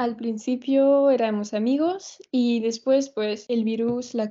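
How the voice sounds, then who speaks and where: A woman with a French accent speaks at a fairly high pitch with fairly even intonation against a quiet background. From France. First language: French (speaking Spanish). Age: 20s. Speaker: dancer and Spanish learner; interviewee. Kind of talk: casual interview chat. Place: home room. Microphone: video call.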